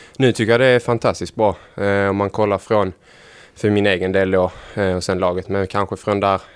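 This man's voice sits very deep and low in pitch, moving along at a moderate pace. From Ängelholm, Skåne, Sweden. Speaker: footballer. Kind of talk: interview.

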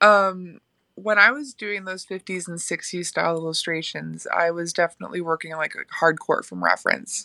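A woman with an American accent talks at a moderate pace, her loudness swinging widely, in a dry, close sound with no echo. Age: 30s. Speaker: illustrator. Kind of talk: casual chat.

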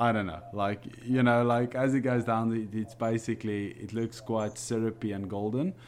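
This man has an Afrikaans South African accent and a medium pitch. His intonation stays fairly even, with hardly any pauses. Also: moderate pace. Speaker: coffee enthusiast co-host. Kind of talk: casual chat. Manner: hesitant, many fillers.

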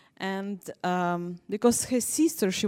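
A woman's dark, mellow voice with ordinary pitch variation, in a very clean recording against a silent background. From southern Ukraine, Mykolaiv. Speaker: missionary. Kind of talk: testimony; missions presentation.

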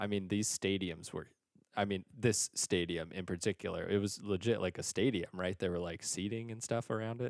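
Captured in a very clean recording with a silent background and a dry, close sound with no echo, a man speaks in a plain, everyday voice, fairly low in pitch with ordinary pitch variation. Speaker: podcast co-host and teacher. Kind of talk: casual banter. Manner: jokey, bantering.

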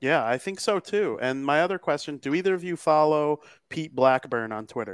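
A man with an American accent talks at a moderate pace in an ordinary speaking voice, fairly high in pitch, with lively intonation. The recording is very clean with a silent background and a dry, close sound with no echo. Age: 20s. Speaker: podcast co-host. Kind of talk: casual chat.

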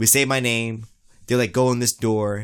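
A man with a normal speaking voice at medium pitch, fairly even in intonation, recorded very cleanly against a silent background. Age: 20s. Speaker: podcast host. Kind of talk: casual chat. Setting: studio.

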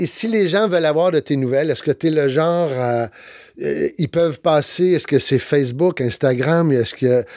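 A man uses a normal speaking voice at a fairly high pitch with ordinary pitch variation. He keeps a moderate pace with hardly any pauses and very even loudness. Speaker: actor, speaker and podcast host. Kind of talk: interview podcast. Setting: studio.

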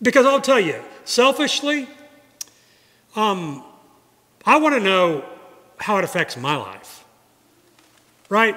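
A man speaks very slowly in a raised, projected voice at a high pitch. His pitch swings very widely, broken by long, frequent pauses. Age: 50s. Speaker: guest preacher. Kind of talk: sermon. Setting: church. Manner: conversational.

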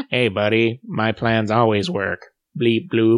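A man puts on a robotic character voice at medium pitch. He talks at a fairly slow pace. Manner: sassy.

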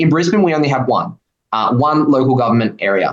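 At a fairly quick pace, a man with an Australian accent talks with ordinary pitch variation. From Queensland, Australia. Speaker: economic policy researcher. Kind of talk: radio interview.

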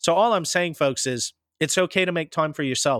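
A man with an American accent at a fairly quick pace, an ordinary speaking voice with ordinary pitch variation, dry and close with no echo, on a very clean recording with a silent background. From US Pacific Northwest, later Midwest. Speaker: podcast host. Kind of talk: casual interview chat.

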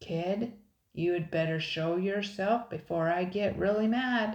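A gruff, put-on character voice, female-sounding, at a middle pitch and fairly slow pace. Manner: hollering, gruff.

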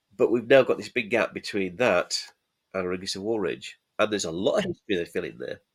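The speaker has a Yorkshire accent. The pace is fairly quick. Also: man. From Yorkshire, Halifax. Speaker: miniatures manufacturer and rules writer. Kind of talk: casual chat.

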